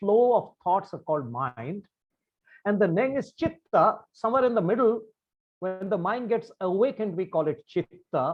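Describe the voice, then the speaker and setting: Speaking at a moderate pace, a man uses lively intonation at a high pitch. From India, Bengal. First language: Bengali. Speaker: meditation practitioner sharing his views. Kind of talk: talk to camera on meditation. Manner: formal.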